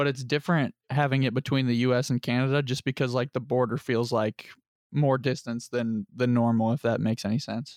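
A man with an American accent and an ordinary speaking voice talks at a fairly quick pace and medium pitch, with fairly even intonation and very even loudness, in a dry, close recording with no echo and a quiet background. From Lebanon (US). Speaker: football player and podcast co-host. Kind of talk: casual chat.

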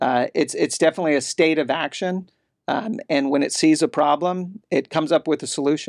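A man with an American accent speaks fairly quickly in a normal speaking voice, fairly high in pitch with ordinary pitch variation, sounding dry and close with no echo on a very clean recording with a silent background. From California (grew up partly there, Army family). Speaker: criminal defense lawyer and state policy director. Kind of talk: interview. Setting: studio in Austin.

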